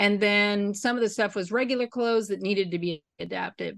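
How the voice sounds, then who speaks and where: A woman with a medium-pitched, unremarkable speaking voice talks with ordinary pitch variation against a quiet background. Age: 50s. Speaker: costume designer. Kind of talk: casual interview chat.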